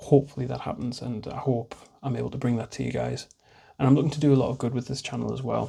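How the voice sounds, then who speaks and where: A man with a dark, mellow tone talks at a fairly quick pace, with vocal fry. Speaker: hobby YouTuber, miniature wargaming. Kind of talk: casual vlog monologue. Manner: fast at times.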